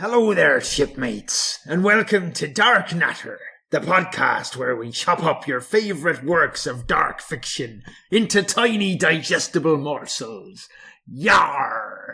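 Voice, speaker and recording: A man uses a put-on character voice at a high pitch. The pace is fairly slow. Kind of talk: podcast intro, hammy.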